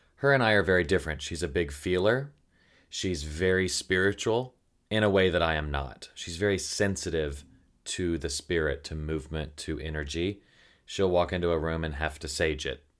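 Over a silent background on a very clean recording, a man with a Southern US accent speaks at a moderate pace in a very deep, low voice with ordinary pitch variation. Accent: faint Southern. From Tennessee. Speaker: podcast host and writer. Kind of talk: casual chat.

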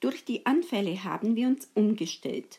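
Speaking very slowly, a woman has a somewhat breathy voice with a dark, mellow tone and lively intonation. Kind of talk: personal testimony.

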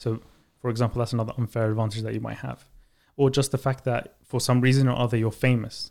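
Delivery comes at a very fast pace in a London accent. The intonation is monotone and flat. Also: man, medium pitch for a man. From Baghdad, Iraq, then London. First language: Arabic. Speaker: author and startup founder. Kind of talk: interview.

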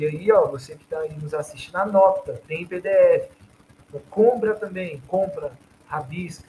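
At a fairly slow pace, a man speaks with big swings in loudness. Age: 30s. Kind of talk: casual chat.

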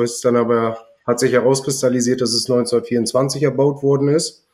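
A man's medium-pitched voice at a moderate pace, with monotone, flat intonation and very even loudness. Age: 30s. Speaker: heating installer, business owner. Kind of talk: casual interview.

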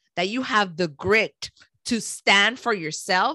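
A woman's fairly high-pitched voice with a bright, sharp tone, ordinary pitch variation and a Caribbean accent, in a dry, close sound with no echo. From Panama, raised in Miami. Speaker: podcaster and former broadcast media planner. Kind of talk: casual interview chat. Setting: video call.

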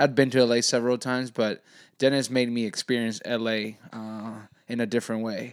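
A man speaks at a fairly quick pace and medium pitch. His intonation is monotone and flat, on a very clean recording with a silent background. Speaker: soccer podcast host. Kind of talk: casual chat.

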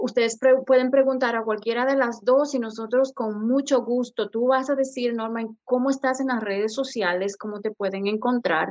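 A woman with a high pitch talks with hardly any pauses. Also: moderate pace. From Ecuador. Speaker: podcast host. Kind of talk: casual chat.

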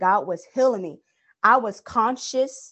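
With ordinary pitch variation and a fairly slow pace, this is a plain, everyday voice. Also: woman. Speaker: guest co-host. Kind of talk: casual religious discussion.

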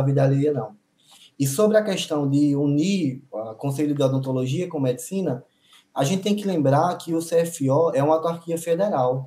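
A man's somewhat breathy voice sits fairly high in pitch, with a dark, mellow tone. He moves at a moderate pace with ordinary pitch variation. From Paraíba, Brazil (interior). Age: 40s. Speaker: dentist. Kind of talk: casual chat.

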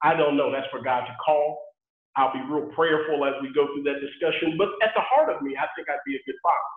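Speaking at a fairly quick pace with an American accent, a man has a fairly high pitch, ordinary pitch variation, and an unremarkable speaking voice. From Texas, Houston area. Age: 30s. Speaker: construction worker. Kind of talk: casual chat.

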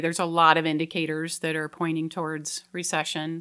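With an American accent, a woman talks at a moderate pace in a bright, sharp tone. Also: very clean recording, silent background. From Colorado. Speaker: mortgage loan officer. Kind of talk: casual interview. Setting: studio.

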